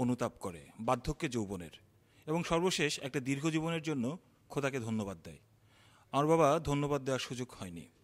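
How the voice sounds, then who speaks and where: A man with lively intonation in a very clean recording with a silent background. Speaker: poet, filmmaker and theatre activist. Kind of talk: slam poetry performance. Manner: emotional.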